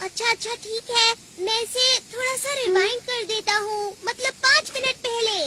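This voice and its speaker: An extremely high put-on character voice runs at a moderate pace with hardly any pauses over light background noise. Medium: fan dub. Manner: bossy, self-assured.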